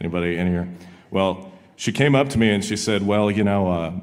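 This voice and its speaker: The voice has a Southern US accent, with noticeable background noise and audible room echo. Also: man. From Arkansas, Fort Smith. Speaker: country singer and attorney. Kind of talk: casual chat on stage.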